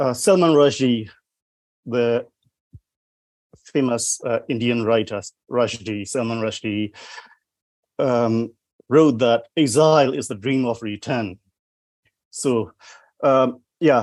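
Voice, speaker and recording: A man with a Burmese accent speaks at a very slow pace, with long, frequent pauses. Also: medium pitch for a man, ordinary pitch variation. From Myanmar. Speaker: poet. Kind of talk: panel discussion.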